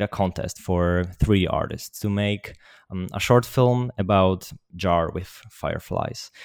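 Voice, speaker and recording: A man with a Polish accent at a fairly low pitch and a very slow pace, ordinary pitch variation, in a very clean recording with a silent background and a dry, close sound with no echo. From Poland. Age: young. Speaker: 3D artist and animator. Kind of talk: interview.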